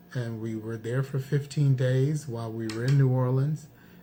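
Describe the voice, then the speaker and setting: A man talks at a medium pitch with fairly even intonation. Music plays in the background. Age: 60s. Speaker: cooking channel co-host. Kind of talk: casual chat.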